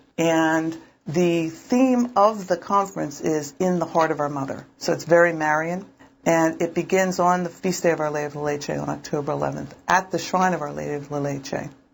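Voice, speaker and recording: A woman with a slight Philadelphia accent, fairly low in pitch, with ordinary pitch variation and a moderate pace. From Philadelphia, US. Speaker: diocesan pro-life director. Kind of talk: interview.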